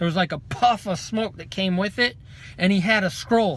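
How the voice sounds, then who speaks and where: A man speaks loudly in a bright, sharp tone. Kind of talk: testimony. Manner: fast.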